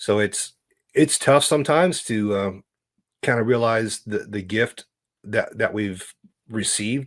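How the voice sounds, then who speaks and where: A man's medium-pitched voice with an American accent, fairly slow delivery, ordinary pitch variation, long and frequent pauses, and a very clean recording over a silent background. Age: 50s. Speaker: entrepreneur. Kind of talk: interview. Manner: halting.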